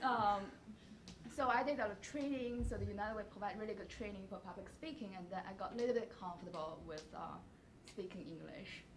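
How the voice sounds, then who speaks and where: A woman talks very fast with lively intonation at a medium pitch, her loudness swinging widely. Noticeable background noise and audible room echo fill the recording. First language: not English. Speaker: alumni panelist. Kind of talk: panel discussion. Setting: campus event with audience.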